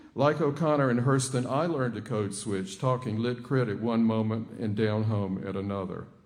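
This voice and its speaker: With a Southern accent, a man speaks at medium pitch and a moderate pace, with hardly any pauses. His pitch varies in an ordinary way, and there is audible room echo. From Georgia, US South (Atlanta). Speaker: professor. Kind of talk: lecture.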